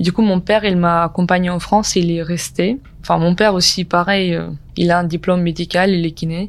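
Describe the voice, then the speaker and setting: Fairly low-pitched, a woman speaks at a fairly quick pace in a monotone, flat intonation. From Ukraine. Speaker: recent graduate. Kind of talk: testimony. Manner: halting.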